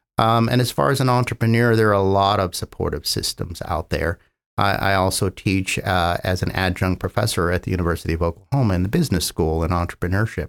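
In an American accent, a man with a plain, everyday voice talks at a fairly quick pace with ordinary pitch variation, in a dry, close recording with no echo that is very clean against a silent background. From US West Coast, San Francisco Bay Area. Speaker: biotech company founder and scientist. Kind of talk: interview.

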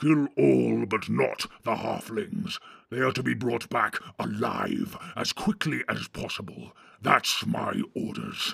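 A man puts on a growling character voice. He speaks at a fairly slow pace. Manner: gruff, commanding.

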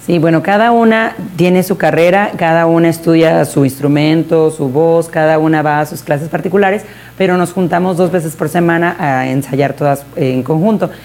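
A woman talks at a moderate pace with a fairly low pitch and ordinary pitch variation, leaving hardly any pauses. Noticeable background noise runs under her voice. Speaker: mariachi singer and director. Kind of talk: interview.

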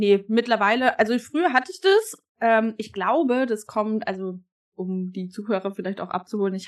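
A normal speaking voice from a woman, medium-pitched and moderately paced, with ordinary pitch variation. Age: 20s. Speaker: fitness athlete and coach. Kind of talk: casual chat.

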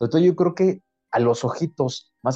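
The man's voice sounds dry and close with no echo, while music plays in the background. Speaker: podcast host. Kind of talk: casual chat.

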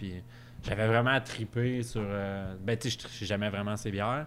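A man with a Quebec accent, fairly low in pitch, with fairly even intonation. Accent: Québécois French. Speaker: brewer. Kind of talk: casual chat. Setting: recorded at a bar.

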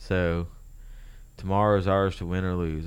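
A man speaks with a very deep, low pitch. There is audible room echo around his voice. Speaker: solo podcaster. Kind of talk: casual monologue, reading and commenting on quotes. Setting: home studio, creaky chair, moving around. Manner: rambling, talks in circles.

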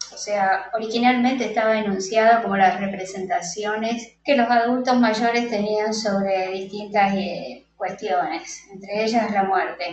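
Talking at a fairly slow pace with hardly any pauses, a woman has a plain, everyday voice. Her pitch is fairly high, with ordinary pitch variation. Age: 50s. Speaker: psychologist and photographer. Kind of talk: interview.

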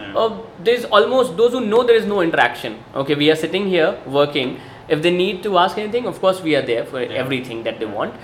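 Over noticeable background noise, a man speaks very fast in a high pitch with very wide pitch swings. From India (Bihar). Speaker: coffee taster and consultant. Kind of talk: casual interview. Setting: coffee shop.

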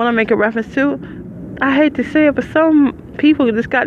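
A woman talks very fast over noticeable background noise. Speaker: podcaster, formerly homeless. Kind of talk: casual monologue. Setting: outdoors at a bus stop.

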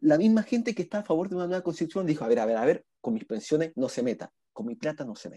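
Dry, close sound with no echo, a man's dark, mellow tone and lively intonation. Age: 20s. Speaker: lawyer and economics-of-law graduate. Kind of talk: casual chat.

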